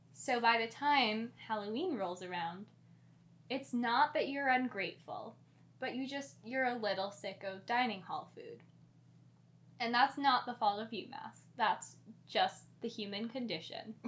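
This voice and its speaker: In a calm tone, a woman speaks fairly slowly at a fairly high pitch, her intonation lively and her loudness swinging widely. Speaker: podcast co-host; yoga instructor. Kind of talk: casual.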